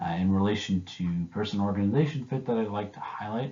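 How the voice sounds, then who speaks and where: The speech runs at a fairly quick pace with lively intonation. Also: man. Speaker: graduate student presenter. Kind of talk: recorded academic presentation. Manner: hesitant, many filler words.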